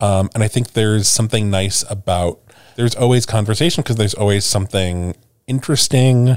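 Using an unremarkable speaking voice, a man with an American accent talks at a fairly quick pace with fairly low pitch, ordinary pitch variation and very even loudness, recorded very cleanly over a silent background with a dry, close sound with no echo. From US Midwest, Chicago. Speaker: podcast co-host. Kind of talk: casual chat.

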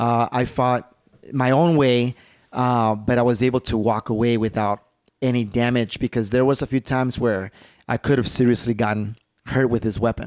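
With an American accent, a man speaks at a medium pitch in an ordinary speaking voice, at very even loudness, with a dry, close sound and no echo. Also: moderate pace. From Chicago, Little Village. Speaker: martial artist. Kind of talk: casual chat.

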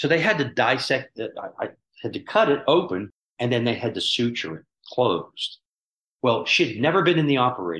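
Using an American accent, a man speaks with vocal fry and very wide pitch swings. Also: medium pitch for a man, fairly quick pace. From US, Pittsburgh. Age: 70s. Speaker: surgeon. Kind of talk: interview.

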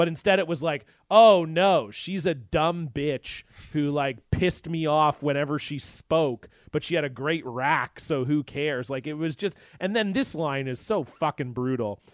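A man with an unremarkable speaking voice talks at a moderate pace, fairly high in pitch. Pitch variation is ordinary, and the sound is dry and close with no echo. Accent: American. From western Canada, near US border. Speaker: podcaster. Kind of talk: casual chat. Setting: remote call.

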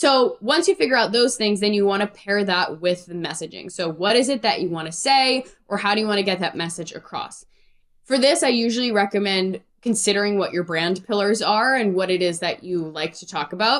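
Energetic and lively in intonation, a woman speaks at a medium pitch. Her pace is fairly quick. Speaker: music career coach. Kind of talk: interview. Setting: video call. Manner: fast.

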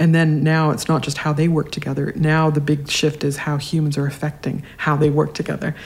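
Flat, monotone intonation at a fairly quick pace, with a Canadian accent and hardly any pauses. Noticeable background noise is present. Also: woman, very deep, low pitch for a woman. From Canada, Regina, Saskatchewan. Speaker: science writer. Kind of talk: interview.

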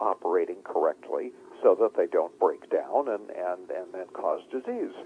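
A man is speaking. He keeps a moderate pace. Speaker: health author. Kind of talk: interview.

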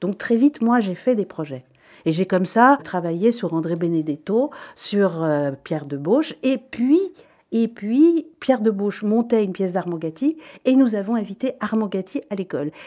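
A woman speaks at medium pitch with very wide pitch swings and a dark, mellow tone. Her pace is moderate, and the recording is very clean with a silent background. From Belgium, Brussels. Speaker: actress and playwright. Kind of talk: radio interview. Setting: studio.

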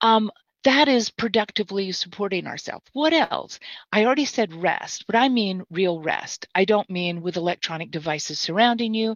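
A woman's unremarkable speaking voice with an American accent, medium in pitch, at a moderate pace. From Mississippi, US South. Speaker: therapist and trainer. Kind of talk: casual interview. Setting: video call live stream.

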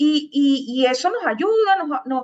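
A woman is speaking. Her voice sits at a high pitch. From Venezuela, Caracas. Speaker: digital marketing agency founder. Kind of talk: interview.

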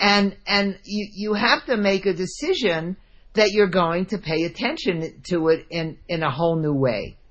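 A woman's normal speaking voice with an American accent, medium-pitched, lively in intonation, at a fairly slow pace. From New Jersey. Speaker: money coach and author. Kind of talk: interview.

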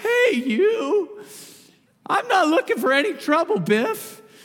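This put-on character voice is squeaky and extremely high-pitched, with very wide pitch swings. The pace is fairly slow. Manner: forced strong tough voice.

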